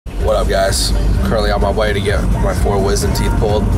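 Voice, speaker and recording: A man at a fairly quick pace over loud music in the background. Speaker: vlogger. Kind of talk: casual vlog chat. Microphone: phone near.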